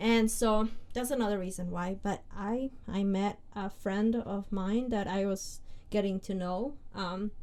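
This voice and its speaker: Speaking at a fairly slow pace, a woman uses a medium pitch, a dark, mellow tone and fairly even intonation. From Peru. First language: Spanish. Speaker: podcast co-host. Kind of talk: casual chat.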